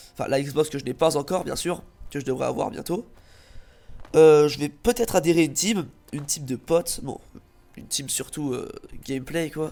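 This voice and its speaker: A man speaks at a moderate pace with long, frequent pauses. His tone is dark and mellow, with ordinary pitch variation. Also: fairly high pitch for a man. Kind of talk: channel introduction video.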